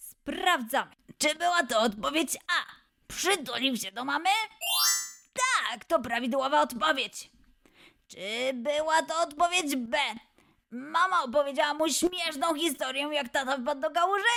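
In a raised, projected voice, a woman speaks at a fairly slow pace and high pitch, with an upbeat, playful tone and lively intonation. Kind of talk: children's quiz show host.

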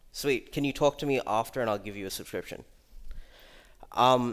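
A man speaks with an Australian accent. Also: quiet background. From Australia, Melbourne. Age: 20s. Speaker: security researcher; conference speaker. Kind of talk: conference talk. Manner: casual. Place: hall.

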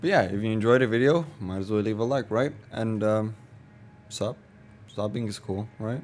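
Fairly low male voice, fairly even in intonation. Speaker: gaming youtuber. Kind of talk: casual gaming commentary outro. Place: home room. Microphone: studio mic.

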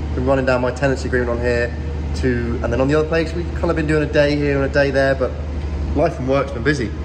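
Noticeable background noise runs under a man's very deep, low voice. He talks very fast with ordinary pitch variation. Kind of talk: casual vlog chat. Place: workshop. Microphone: phone near.

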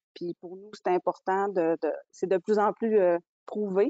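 A woman at a fairly slow pace with monotone, flat intonation, in a dry sound with no echo and a quiet background. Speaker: business owner; webinar panelist. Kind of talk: webinar presentation. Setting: video call. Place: home room. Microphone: earbuds.

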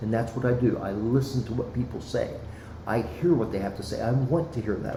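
A man with an American accent speaks at a fairly quick pace, medium in pitch. Audible room echo and noticeable background noise are present. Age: 60s. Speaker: former city councilman, school board candidate. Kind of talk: podcast interview. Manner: passionate, earnest.

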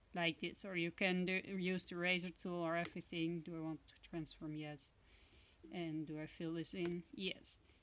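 Flat and monotone, a woman with a Dutch accent speaks at a moderate pace and a fairly low pitch. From Netherlands. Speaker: crafter and sticker maker. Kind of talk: tutorial. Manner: halting, many fillers.

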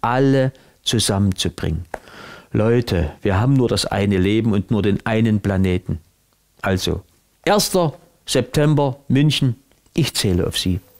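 A man with a Saxon accent speaks at a fairly slow pace and fairly low pitch, with lively intonation. He takes long, frequent pauses against a quiet background. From Saxony. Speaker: cabaret artist and actor. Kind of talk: announcement to camera for a peace rally. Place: home room.

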